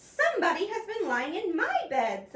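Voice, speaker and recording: A woman puts on a squeaky, raspy character voice at an extremely high pitch. She keeps a moderate pace. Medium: read story.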